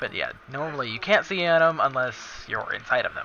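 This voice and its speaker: Amid noticeable background noise, a man talks at a fairly high pitch with ordinary pitch variation. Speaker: gamer. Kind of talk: tutorial. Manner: halting.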